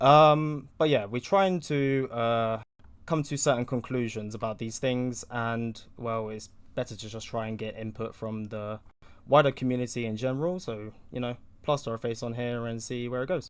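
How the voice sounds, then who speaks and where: On a very clean recording with a silent background, a man with a British accent speaks with ordinary pitch variation. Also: medium pitch for a man, moderate pace. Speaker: podcast host. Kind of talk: casual podcast intro. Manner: hesitant, many fillers.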